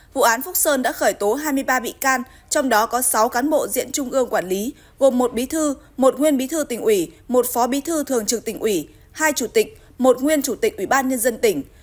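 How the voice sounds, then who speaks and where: Her pitch is high and her intonation lively. The woman keeps to a fairly quick pace. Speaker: news anchor. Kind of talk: news reading. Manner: formal.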